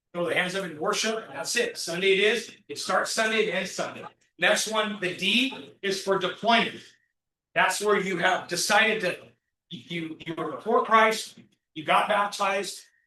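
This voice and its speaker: Projecting his raised voice into audible room echo, a man with a high pitch and a bright, sharp tone speaks at a moderate pace with ordinary pitch variation. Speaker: business workshop speaker. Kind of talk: interactive workshop talk. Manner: animated.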